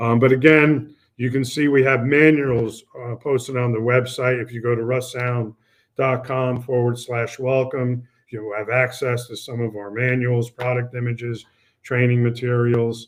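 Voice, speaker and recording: Moderate pace and monotone, flat intonation from a man. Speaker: product presenter for an audio equipment maker; presenter. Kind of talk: product webinar presentation. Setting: online webinar. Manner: halting with many fillers. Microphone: webcam.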